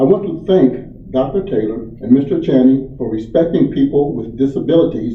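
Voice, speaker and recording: In a room with audible echo, a man talks at a moderate pace in a medium-pitched, somewhat breathy voice with ordinary pitch variation. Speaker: public commenter. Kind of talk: public comment. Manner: slurred speech.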